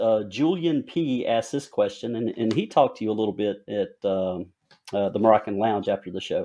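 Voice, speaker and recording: In a strong Southern US accent, a man talks fairly quickly at a medium pitch with lively intonation. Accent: heavy Southern twang. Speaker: podcast host and author. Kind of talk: casual interview.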